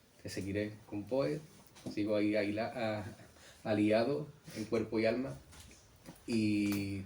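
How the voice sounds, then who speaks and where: Amid noticeable background noise and audible room echo, a man speaks in a fairly low pitch. His pace is very slow, with long, frequent pauses. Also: ordinary pitch variation. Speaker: illustrator. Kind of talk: book presentation talk. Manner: halting.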